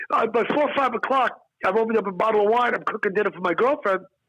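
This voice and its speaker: A man talks in an animated, bright and sharp tone. His pitch moves with ordinary variation. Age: 60s. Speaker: stand-up comedian. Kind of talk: casual interview chat.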